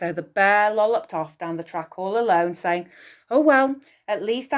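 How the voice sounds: The reading voice sounds natural. Its pitch rises and falls in a lively way.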